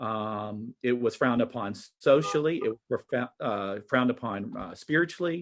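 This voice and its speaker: Over a quiet background, a man with a Southern US accent speaks at a moderate pace. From US South. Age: 40s. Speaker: teacher. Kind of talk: conference presentation.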